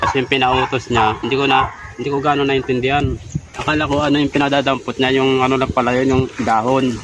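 A man at medium pitch talks at a very fast pace. Noticeable background noise sits under his voice. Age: old. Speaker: laborer. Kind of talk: casual complaint. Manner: halting.

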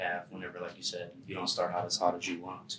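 A bright, sharp tone carries through audible room echo and light background noise. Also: man. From Pittsburgh, Pennsylvania. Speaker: student podcast host. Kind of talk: casual interview. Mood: relaxed, friendly. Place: studio.

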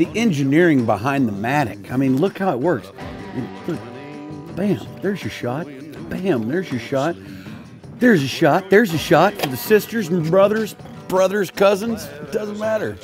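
This man's voice sits at a fairly high pitch and moves through very wide pitch swings at a moderate pace. He leaves long, frequent pauses, and clear music plays in the background. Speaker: singer-songwriter. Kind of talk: casual banter on golf outing. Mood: playful, joking boastful.

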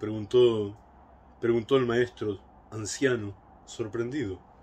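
The man's voice comes out somewhat breathy. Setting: home recording, a solo video message. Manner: warm, reflective, conversational. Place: garden. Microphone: phone near.

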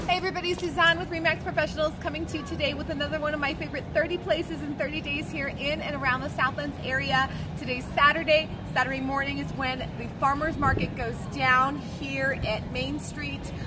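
Music plays in the background. A woman talks over it at a fairly quick pace. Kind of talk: promotional vlog presentation. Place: market.

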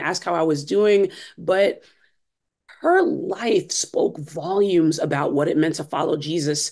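In a plain, everyday voice, a woman with an American accent talks at a fairly slow pace with a fairly low pitch and ordinary pitch variation against a quiet background. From US Northeast, Brooklyn, New York. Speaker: church discipleship director and author. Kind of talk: interview. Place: home room. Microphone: video call.

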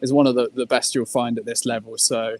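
Speaking at a very fast pace, a man keeps a monotone, flat intonation in a dry sound with no echo. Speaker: remote guest. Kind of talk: interview answer. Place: stadium.

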